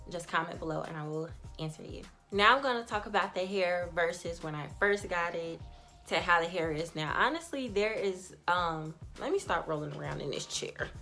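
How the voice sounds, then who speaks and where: A woman's voice with ordinary pitch variation over music in the background. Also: moderate pace. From Chicago. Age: 20s. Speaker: beauty vlogger. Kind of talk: casual talk to camera.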